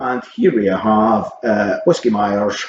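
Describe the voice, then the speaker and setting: Speaking in a Scottish accent, a man uses ordinary pitch variation. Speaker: vinyl collector vlogger. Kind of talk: casual vlog chat. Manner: hesitant, many ums.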